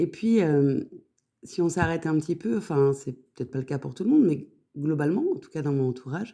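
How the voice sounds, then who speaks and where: Her voice very deep and low, a woman speaks at a fairly quick pace with lively intonation. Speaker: numerology podcaster. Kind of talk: podcast monologue. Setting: on holiday. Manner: hesitant, many fillers.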